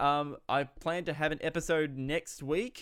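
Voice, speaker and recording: The speaker is a man. He talks with an Australian accent. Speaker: podcast host and film critic. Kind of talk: casual podcast talk and interview. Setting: video call.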